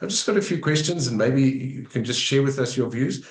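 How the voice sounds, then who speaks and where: Somewhat breathy, medium-pitched male speech with ordinary pitch variation. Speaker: road safety interview host. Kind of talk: interview.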